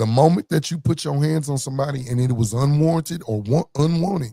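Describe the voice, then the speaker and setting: The voice has a dark, mellow tone, somewhat breathy, with ordinary pitch variation and a dry, close sound with no echo. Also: man. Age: adult parent. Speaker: podcast panelist. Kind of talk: casual group discussion. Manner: animated.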